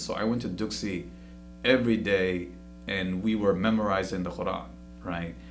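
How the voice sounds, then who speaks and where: Audible room echo surrounds a man with a Somali accent and a fairly low pitch. He speaks at a moderate pace with lively intonation and vocal fry. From Somalia, refugee camp in Kenya, then Columbus, Ohio from age ten. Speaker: professor. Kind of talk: interview.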